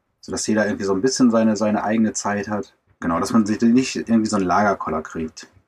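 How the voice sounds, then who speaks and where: A man with a fairly low voice at a very fast pace. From Germany. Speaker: van lifer and traveller. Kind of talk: casual interview. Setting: video call from inside a camper van.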